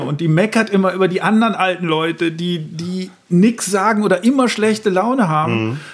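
Speaking at a fairly quick pace, a man uses a high pitch. His pitch variation is ordinary. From Lower Rhine, Germany (Emmerich). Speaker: comedian. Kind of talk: casual chat.

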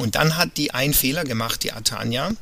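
This is a man speaking at a medium pitch. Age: 40s. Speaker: cruise ship entertainer and illustrator. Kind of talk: casual interview. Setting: virtual studio, remote call.

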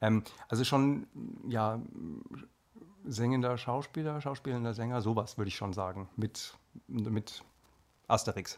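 This man talks at a moderate pace. He has a slight Hessian accent. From Hesse, Marburg. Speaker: singer and actor. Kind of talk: casual chat. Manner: halting, many fillers.

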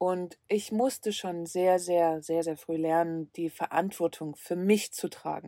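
A woman's fairly low, dark, mellow voice in a calm tone at a very slow pace, dry and close with no echo, on a very clean recording with a silent background. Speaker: travel podcaster living in a van. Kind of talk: solo podcast monologue. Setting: inside a van. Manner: calm, reflective; occasionally halting.

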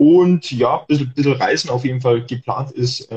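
Somewhat breathy, this man's voice has a dark, mellow tone at a medium pitch. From Germany. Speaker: dividend investor and travel blogger. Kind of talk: casual panel chat.

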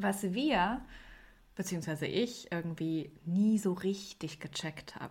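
Somewhat breathy, a woman's voice is heard. She talks at a very slow pace. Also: medium pitch for a woman, ordinary pitch variation, very clean recording, silent background. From Germany. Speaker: podcast host and TV editor. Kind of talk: casual chat.

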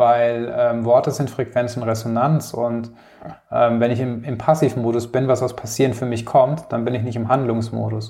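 A man's dark, mellow tone at medium pitch, with monotone, flat intonation and a moderate pace. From Palatinate, Germany. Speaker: community founder and keynote speaker. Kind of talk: interview.

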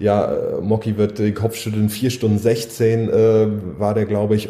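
The voice belongs to a man at medium pitch. Background noise is noticeable. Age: 30s. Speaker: triathlete and coach. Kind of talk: casual chat.

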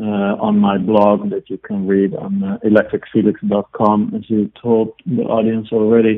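Speaking fairly slowly in a Dutch accent, a man holds a medium pitch with monotone, flat intonation. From Netherlands. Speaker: IT consultant and electric road trip blogger. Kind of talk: interview. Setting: phone call.

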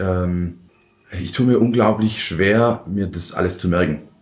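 The man's pitch is very deep and low. His intonation stays fairly even at a moderate pace. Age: 30s. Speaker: head chef. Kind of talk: interview. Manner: halting, many fillers.

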